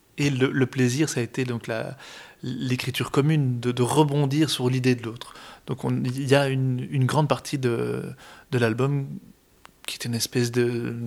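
A man's medium-pitched voice, monotone and flat, at a moderate pace with long, frequent pauses. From Brussels, Belgium. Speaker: accordionist. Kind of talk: interview.

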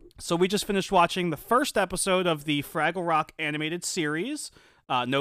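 On a very clean recording with a silent background, a man speaks at a moderate pace with a high pitch and a bright, sharp tone. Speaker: podcast host. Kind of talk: casual chat.

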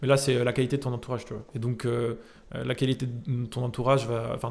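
A plain, everyday voice speaks at a fairly quick pace with fairly even intonation. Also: man. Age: 20s. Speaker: entrepreneur. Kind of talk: casual interview. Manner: casual, many fillers.

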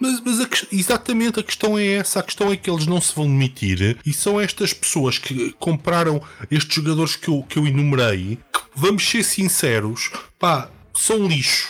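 A man with a European Portuguese accent speaks at a moderate pace in a high pitch, with very wide pitch swings and very even loudness. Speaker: football podcast co-host. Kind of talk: casual chat.

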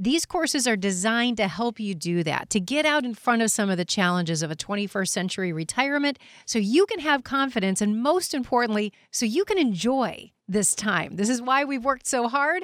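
Speech runs at a fairly quick pace with hardly any pauses and very wide pitch swings. The recording is very clean, with a silent background. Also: woman, fairly high pitch for a woman. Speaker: radio host. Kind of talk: radio show hosting.

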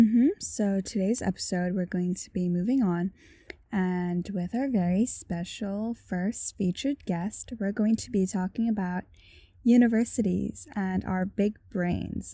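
At a fairly slow pace, a woman speaks in a dark, mellow, somewhat breathy tone of medium pitch, her intonation fairly even and the recording very clean with a silent background. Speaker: student podcast co-host. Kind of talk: casual chat.

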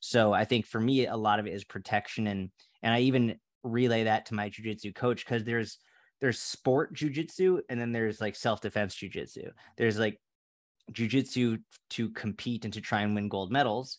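A man talks at a fairly quick pace with medium pitch and fairly even intonation. It is an ordinary speaking voice over a quiet background. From Massachusetts (Boston area). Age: 30s. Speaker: fitness coach. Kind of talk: casual interview chat.

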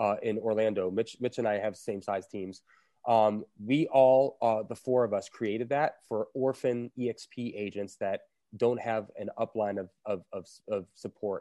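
A man with an unremarkable speaking voice and an American accent speaks at a moderate pace and medium pitch with ordinary pitch variation. The background is quiet, and the sound is dry and close with no echo. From South Florida. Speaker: real estate team leader. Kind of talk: casual interview chat. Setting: video call. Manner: talkative, filler-heavy, conversational.

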